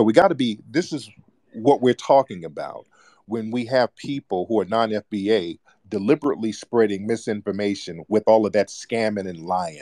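At a moderate pace, the voice has a dark, mellow tone and ordinary pitch variation, recorded dry and close with no echo. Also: man, fairly low pitch for a man. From United States. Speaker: talk show host and filmmaker. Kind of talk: live call-in discussion. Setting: online audio room with callers. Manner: animated.

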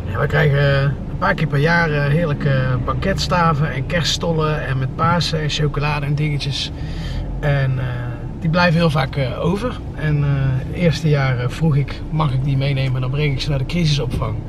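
The speaker talks at a moderate pace over noticeable background noise. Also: man. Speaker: family vlogger. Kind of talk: casual vlog chat. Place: car. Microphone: phone near.

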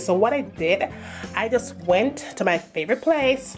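A woman with a Jamaican accent and lively intonation at a fairly slow pace, faint music in the background. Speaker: home decor vlogger. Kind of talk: casual home tour talk to camera. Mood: pleased, chatty. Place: home room. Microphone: phone near.

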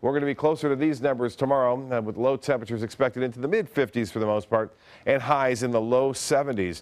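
A man of medium pitch speaks very fast, with ordinary pitch variation. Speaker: TV weather forecaster. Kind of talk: TV weather forecast, informative on-air report with banter. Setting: TV studio. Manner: steady, conversational, businesslike; halting with filler 'uh' pauses. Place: studio. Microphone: lapel.

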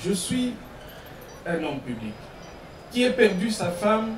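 A man speaks at a fairly slow pace with a high pitch and lively intonation. Audible room echo and light background noise surround him. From DR Congo, Lubumbashi; DR Congo. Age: 50s. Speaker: mayor testifying in court. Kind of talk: court testimony. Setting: courtroom. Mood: earnest, somewhat aggrieved. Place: tent. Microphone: podium.

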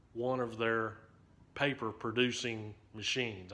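A man talks in a bright, sharp tone. His intonation stays monotone and flat. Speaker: railfan vlogger. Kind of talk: casual vlog chat. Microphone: phone near.

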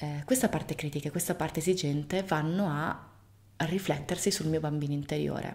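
A woman with a very deep, low pitch speaks at a fairly quick pace, somewhat breathy, with ordinary pitch variation. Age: 30s. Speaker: video blogger. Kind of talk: casual monologue to camera. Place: home room.

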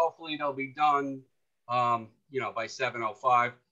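Over a quiet background, a man talks at a fairly slow pace. His voice sits at medium pitch with a bright, sharp tone. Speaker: fan club meeting host. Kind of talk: casual meeting moderation. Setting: video call. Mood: relaxed, friendly. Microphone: video call.

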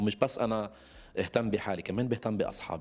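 A man talks in a fairly low pitch. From Lebanon. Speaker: singer; interviewee. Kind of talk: interview. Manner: halting. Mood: relaxed, smiling at times. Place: home room. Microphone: handheld.

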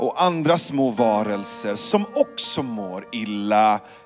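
Male voice at a very slow pace with music in the background. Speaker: spoken word poet. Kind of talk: spoken word poetry performance with piano. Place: stage. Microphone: handheld.

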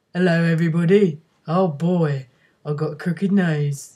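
In a cartoonish character voice, a woman speaks at a fairly low pitch. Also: moderate pace. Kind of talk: children's puppet show. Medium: puppet show. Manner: cheeky, eager, wheedling.

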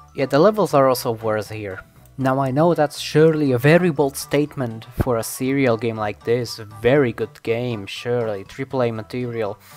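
Music plays in the background as a man speaks at a medium pitch and a moderate pace with ordinary pitch variation. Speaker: video game commentator. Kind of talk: casual video game commentary voice-over. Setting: low-quality home microphone recording. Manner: stuttering; unscripted, rambling.

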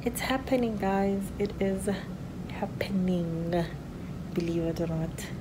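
A woman is speaking. There is noticeable background noise. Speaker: vlogger in early labour. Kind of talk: casual vlog chat. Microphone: phone near.

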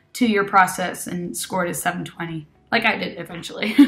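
At a moderate pace, a woman speaks with vocal fry in a bright, sharp tone, her medium pitch showing ordinary variation. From Argentina. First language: Spanish. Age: 20s. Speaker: GMAT test taker and PhD applicant. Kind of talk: testimonial. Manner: casual, with many filler words. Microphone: webcam.

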